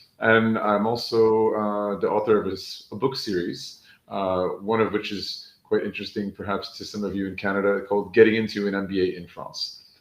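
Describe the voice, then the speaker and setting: With an American accent, a man talks at a fairly quick pace in an ordinary speaking voice. His fairly low pitch holds a fairly even intonation against a quiet background. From New York, US. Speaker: education coach and author. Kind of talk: panel introduction.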